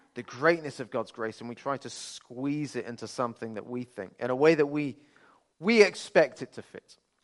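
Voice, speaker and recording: With a Birmingham accent, a man speaks at medium pitch and a moderate pace, his pitch variation ordinary. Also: big swings in loudness. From Birmingham, England. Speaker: pastor. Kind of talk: sermon.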